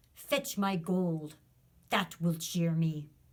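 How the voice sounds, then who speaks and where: A woman puts on a booming, growling character voice, loud and fairly low in pitch. The growl and volume are part of the act. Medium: read story. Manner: loud and menacing.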